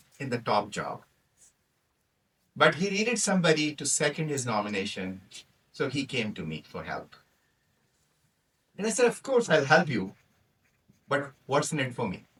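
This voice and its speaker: Speaking with a Punjabi accent, the voice has a bright, sharp tone and vocal fry, with very wide pitch swings, big swings in loudness and long, frequent pauses. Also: man. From Pakistan. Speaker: toastmaster speaker, physician. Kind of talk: prepared humorous speech.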